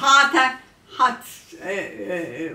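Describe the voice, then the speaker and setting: Audible room echo surrounds a woman's high voice with lively intonation. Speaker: care patient, war eyewitness. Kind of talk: interview answer. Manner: hesitant. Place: kitchen.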